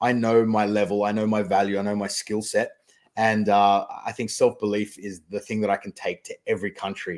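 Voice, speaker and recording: A man with a slight Australian accent, fairly low in pitch, fast-ish in pace at a fairly quick clip, with monotone, flat intonation in a very clean recording with a silent background. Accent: faint Australian. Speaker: magician and mentalist. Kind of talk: podcast interview. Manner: clear and concise.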